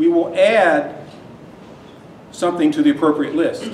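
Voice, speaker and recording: Loud and lively in intonation, a man speaks at a moderate pace amid audible room echo and noticeable background noise. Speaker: university lecturer. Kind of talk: lecture. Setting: lecture hall with students.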